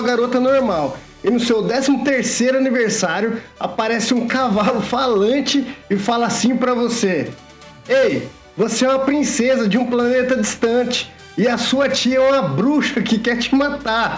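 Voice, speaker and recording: An energetic tone at a moderate pace and very even loudness, with music in the background. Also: man. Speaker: nostalgia pop culture video host. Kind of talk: casual explainer talk to camera. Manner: informal, energetic.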